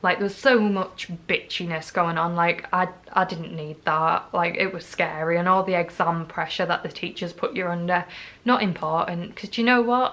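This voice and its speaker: At a moderate pace, a woman with a North East England accent speaks at a fairly low pitch in a bright, sharp tone, with ordinary pitch variation. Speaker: vlogger. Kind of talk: personal testimony vlog.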